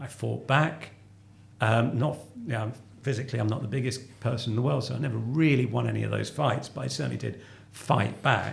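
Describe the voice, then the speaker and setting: A man with a southeast English accent talks at a fairly quick pace. Room echo is audible. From southeast London. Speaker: company finance chief. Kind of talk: interview conversation. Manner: halting.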